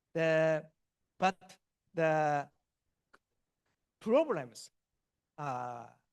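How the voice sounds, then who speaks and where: A man's fairly high voice with a Japanese accent, ordinary pitch variation, and a dry, close sound with no echo. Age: 60s. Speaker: chemistry professor. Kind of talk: Q&A answer at academic seminar. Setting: hybrid auditorium and Zoom seminar. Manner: halting, many fillers.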